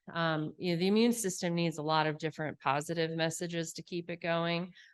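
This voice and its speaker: A woman with an ordinary speaking voice talks fairly quickly in a fairly low pitch, keeping her intonation fairly even. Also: quiet background. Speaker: physician assistant and professor. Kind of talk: lecture.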